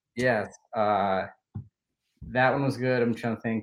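A man at a fairly slow pace. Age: 30s. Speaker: team social media manager. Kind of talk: interview.

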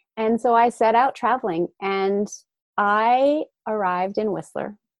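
The woman's medium-pitched voice moves at a fairly slow pace, captured with a dry, close sound that has no echo. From Australia, raised in Japan. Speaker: gratitude coach. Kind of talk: interview conversation.

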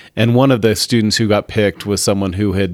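A man with an American accent and a normal speaking voice, fairly low in pitch, fairly even in intonation, on a very clean recording with a silent background. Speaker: magazine publisher. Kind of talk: casual interview.

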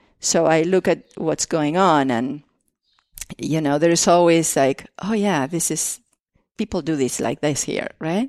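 At a fairly slow pace, a woman with an Argentine accent speaks at a very deep, low pitch with ordinary pitch variation, in a dry, close sound with no echo against a quiet background. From Argentina. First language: Spanish. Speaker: artist and former educator. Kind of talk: casual interview conversation. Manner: halting, with many fillers and restarts.

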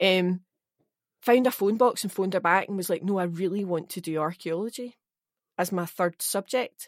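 A woman speaks in a Scottish accent with fairly even intonation. The sound is dry and close, with no echo. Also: very clean recording, silent background. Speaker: actor. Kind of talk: casual chat.

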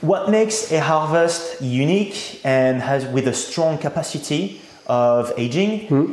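Speaking slowly-ish with a French accent, a man uses a fairly high pitch, lively intonation and very even loudness, with audible room echo around him. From France, Reims. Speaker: champagne producer. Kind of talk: interview.

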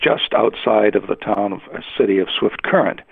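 Noticeable background noise runs through the clip. The voice belongs to a man. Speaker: retired radio executive and broadcaster. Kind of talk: interview. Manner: hesitant, many filler words.

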